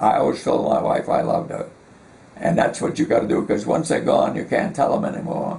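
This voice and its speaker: A man speaks at a fairly quick pace. Audible room echo and noticeable background noise surround him. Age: 90s. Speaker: war veteran. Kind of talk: oral history interview. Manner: halting.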